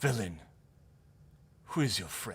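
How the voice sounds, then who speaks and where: A man does a put-on character voice. It is raspy and sits at a medium pitch. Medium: actual play.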